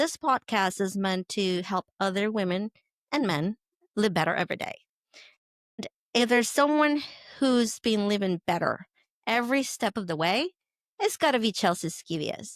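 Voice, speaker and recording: With a Spanish accent, a woman speaks with lively intonation and long, frequent pauses. The recording is very clean and dry, close with no echo, and the background is silent. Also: medium pitch for a woman, moderate pace. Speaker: podcast host. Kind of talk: podcast introduction.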